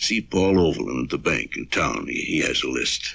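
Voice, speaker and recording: Putting on a raspy character voice, a man speaks very deep and low at a moderate pace. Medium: audio drama. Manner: terse, commanding.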